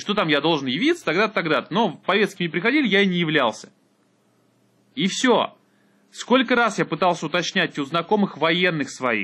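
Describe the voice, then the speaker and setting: A man's bright, sharp, high-pitched voice at a moderate pace, with lively intonation and long, frequent pauses. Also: very even loudness. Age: 20s. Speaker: podcaster. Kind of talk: solo monologue.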